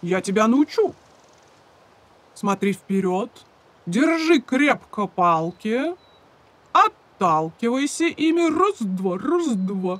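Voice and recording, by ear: A man's cartoonish character voice, high-pitched and slow, with big pitch swings. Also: fairly bright tone.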